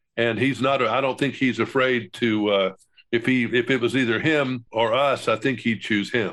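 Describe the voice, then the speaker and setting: This is a man with an ordinary speaking voice at a medium pitch. He talks at a moderate pace with fairly even intonation against a quiet background. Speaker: veteran broadcaster, podcast co-host. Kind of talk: podcast conversation, news commentary.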